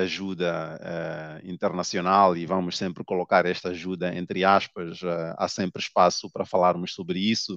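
Over a quiet background, a man with a very deep, low pitch speaks at a fairly slow pace in a dry sound with no echo. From Mozambique. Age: 30s. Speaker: novelist; guest. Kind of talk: interview. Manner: hesitant, many filler sounds. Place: office. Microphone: headset.

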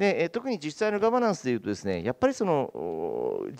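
A man at a fairly quick pace against a quiet background. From eastern Hokkaido, Japan. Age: 50s. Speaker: town mayor. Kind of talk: panel discussion. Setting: stage with audience. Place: hall. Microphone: handheld.

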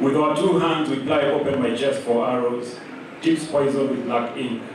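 A man talks at a moderate pace with fairly even intonation. Strong room echo and noticeable background noise fill the recording. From Kenya. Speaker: writer and literary scholar. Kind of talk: public panel conversation. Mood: relaxed, conversational. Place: hall.

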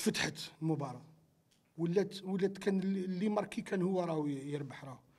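The man's voice is high, moving at a moderate pace with ordinary pitch variation. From Algeria. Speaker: football coach. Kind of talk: post-match interview. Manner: halting, with frequent repetitions. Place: meeting room. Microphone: handheld.

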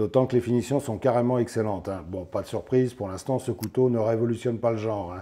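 Delivering his words at a fast pace, a man with a fairly low pitch and dark, mellow tone uses ordinary pitch variation.

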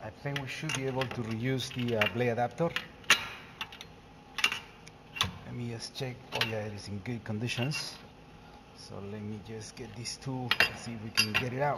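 Long, frequent pauses break up speech at a moderate pace, with loud background noise throughout. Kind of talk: tutorial. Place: workshop. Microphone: phone near.

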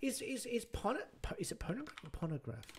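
With vocal fry in his voice, a man speaks using very wide pitch swings. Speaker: streamer. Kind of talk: live stream reaction commentary. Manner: rambling, easily derailed. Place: home room. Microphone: headset.

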